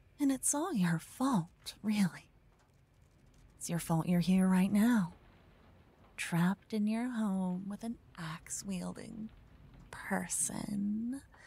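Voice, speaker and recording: A quiet, somewhat breathy woman's voice, dark and mellow, very slow with long, frequent pauses, ordinary pitch variation and a soothing, playful tone. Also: dry sound with no echo. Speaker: ASMR roleplay performer. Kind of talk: whispered ASMR roleplay, intimate close-mic tone. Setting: binaural microphone recording, listener addressed in second person. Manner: hushed, slow, soothing and tender, with playful teasing warmth; cocky, teasing, animated in the adventure scenes. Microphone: studio mic.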